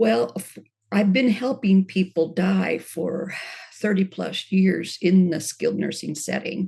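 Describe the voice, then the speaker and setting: A woman's dark, mellow voice at medium pitch, fairly slow, with vocal fry and lively intonation. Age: 70s. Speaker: end-of-life doula. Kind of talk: interview.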